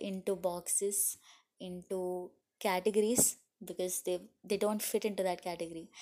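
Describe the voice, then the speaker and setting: This woman has a medium pitch and a dark, mellow tone, speaking at a moderate pace with monotone, flat intonation. The recording is very clean, with a silent background. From India. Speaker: podcast host, health coach. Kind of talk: solo monologue podcast. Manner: hesitant, many fillers.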